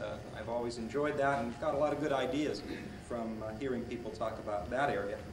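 A man talks at a fairly quick pace while noticeable background noise carries on. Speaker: speaker. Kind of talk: lecture. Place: hall. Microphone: old recording.

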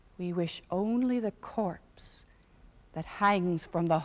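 Someone reads plainly out loud, with ordinary pitch variation.

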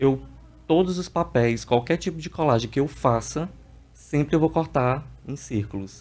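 A man's somewhat breathy voice moves at a fairly slow pace with ordinary pitch variation. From Piauí, Brazil (Parnaíba); Piauí, Brazil. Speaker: visual artist; guest. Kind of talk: TV interview. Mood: calm, explanatory. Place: studio. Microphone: studio mic.

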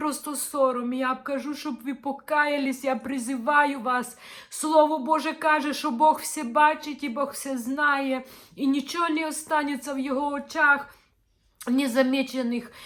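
Speaking at a fairly slow pace, the woman holds a high pitch in a monotone, flat intonation. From northern Ukraine, village of Luchanky. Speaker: religious video blogger. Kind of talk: impassioned appeal. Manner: earnest, reproachful.

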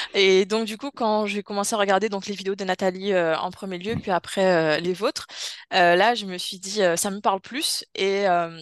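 Against a quiet background, a woman talks at a moderate pace and medium pitch, her intonation fairly even and the sound dry with no echo. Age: 20s. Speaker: hypnosis subject, osteopath; interviewee. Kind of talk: personal testimony. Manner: halting, many hesitations. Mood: calm, reflective storytelling. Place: home room. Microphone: video call.

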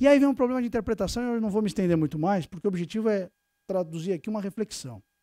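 A man with a high pitch and a dark, mellow tone talks very fast with lively intonation. The background is quiet and the sound dry, with no echo. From Brazil, São Paulo. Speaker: tax lawyer, lecturer. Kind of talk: conference lecture. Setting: stage with audience. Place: meeting room.

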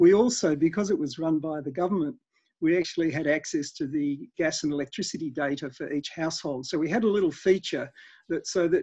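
The voice has a dark, mellow tone and an Australian accent. It moves at a moderate pace over a quiet background. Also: man. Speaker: energy efficiency expert; guest. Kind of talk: interview. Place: home room. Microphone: headset.

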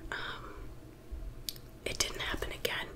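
A woman whispering in a relaxed tone. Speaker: ASMR creator. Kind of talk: casual talk to camera. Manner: soft-spoken, relaxed.

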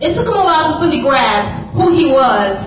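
A woman speaks with light background noise. Room echo is audible. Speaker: spoken word performer. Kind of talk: spoken word poetry performance. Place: church. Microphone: pa.

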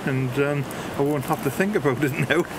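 At a moderate pace, a man speaks while noticeable noise fills the background. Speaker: semi-retired civil servant. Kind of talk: interview answer. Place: street.

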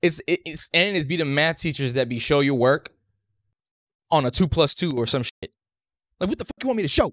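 The voice moves at a moderate pace with ordinary pitch variation, in a dry sound with no echo against a quiet background. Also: man. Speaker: reaction content creator. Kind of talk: casual reaction commentary. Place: home room. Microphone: studio mic.

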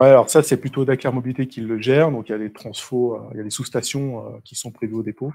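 A man speaks at a fairly quick pace with hardly any pauses, his tone dark and mellow, his intonation fairly even, and his loudness swinging widely. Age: 30s. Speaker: engineering consultant; presenter. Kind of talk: presentation. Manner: halting. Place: meeting room. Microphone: handheld.

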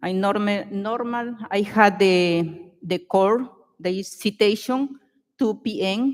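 A woman speaks at a medium pitch. She goes very slowly, with ordinary pitch variation. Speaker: resident speaking at public comment. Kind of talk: reading prepared statement at council. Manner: halting, hesitant.

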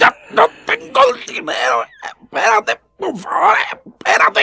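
A man's put-on character voice, extremely high-pitched, bright and sharp, with vocal fry, very wide pitch swings and a fairly slow pace

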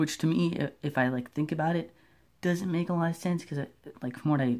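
The man's tone is dark and mellow, and his pace fairly quick. The background is quiet. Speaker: amateur movie reviewer. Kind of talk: casual vlog chat. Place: home room. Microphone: phone near.

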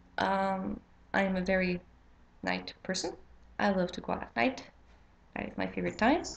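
Light background noise sits behind a woman with a Quebec accent. She talks at a moderate pace. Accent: Québécois French-accented English. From Quebec, Canada. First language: French. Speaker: witchcraft vlogger. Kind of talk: casual vlog intro. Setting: home, late at night. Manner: halting, many fillers. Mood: somewhat nervous, hesitant. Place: home room. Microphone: webcam.

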